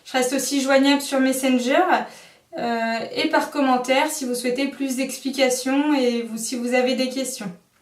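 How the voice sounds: The delivery moves at a moderate pace with fairly even intonation. Room echo can be heard. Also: woman, high pitch for a woman.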